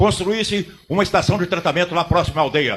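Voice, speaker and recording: This man talks fairly quickly, and his pitch moves in an ordinary way. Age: 70s. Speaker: city councillor. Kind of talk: council chamber speech. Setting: city council chamber with audience. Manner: impassioned, oratorical.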